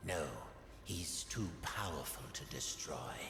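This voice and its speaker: A man's put-on character voice at a fairly slow pace, with slight echo and loud background noise. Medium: video game. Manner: smooth, condescending.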